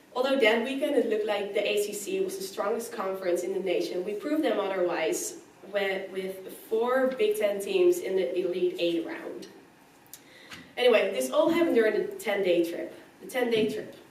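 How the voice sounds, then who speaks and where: A woman's fairly high voice at a moderate pace, with very wide pitch swings, audible room echo and noticeable background noise. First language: not English. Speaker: college field hockey player. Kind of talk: speech.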